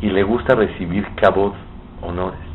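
A man with a very deep, low voice speaks at a fairly slow pace with ordinary pitch variation. Noticeable background noise and audible room echo fill the recording. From Mexico. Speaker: rabbi. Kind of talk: sermon.

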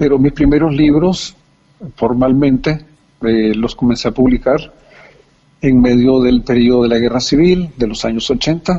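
A man's dark, mellow, medium-pitched voice at a fairly slow pace, with ordinary pitch variation. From El Salvador. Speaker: poet. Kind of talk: interview.

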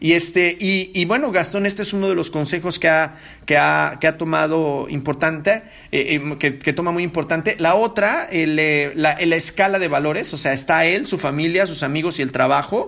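Ordinary pitch variation accompanies a delivery kept at a moderate pace. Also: man, fairly high pitch for a man. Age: 40s. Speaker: podcast host. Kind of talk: solo podcast monologue. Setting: living room at home. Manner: halting, many fillers.

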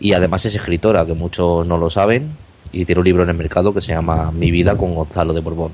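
Very fast speech from a man with a very deep, low voice, against noticeable background noise. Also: fairly even intonation. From Spain, not Barcelona. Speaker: radio co-host interviewer. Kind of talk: interview.

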